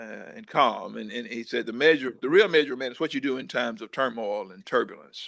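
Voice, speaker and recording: Talking at a fairly quick pace with hardly any pauses, a man with a medium pitch shows vocal fry, ordinary pitch variation, and big swings in loudness. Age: 60s. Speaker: former agriculture official, speaker. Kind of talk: keynote talk. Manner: halting, repeats words.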